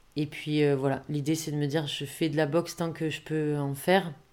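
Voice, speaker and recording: At a fairly slow pace, a woman speaks in a very deep, low pitch with a dark, mellow tone and monotone, flat intonation. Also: very clean recording, silent background. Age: 30s. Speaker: amateur boxer. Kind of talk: personal testimony. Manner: casual, many filler words.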